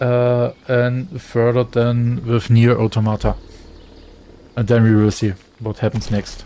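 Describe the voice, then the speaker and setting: A man with a German accent talks in a medium pitch at a fairly slow pace. His intonation is monotone and flat, and long pauses come often. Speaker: gaming streamer. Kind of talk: casual chat. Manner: halting.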